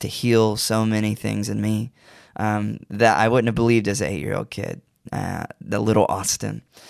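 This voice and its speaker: A plain, everyday voice at a moderate pace. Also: man. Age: 20s. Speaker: recording artist. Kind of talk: interview.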